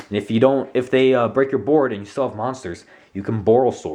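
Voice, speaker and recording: A man speaks at a medium pitch. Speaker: YouTuber presenting a card game deck. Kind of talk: tutorial. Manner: hesitant, many fillers.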